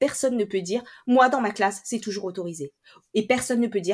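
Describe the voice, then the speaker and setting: Speaking fairly quickly, a woman has an ordinary speaking voice at medium pitch. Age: 30s. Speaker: teacher trainer and coach. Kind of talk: interview conversation.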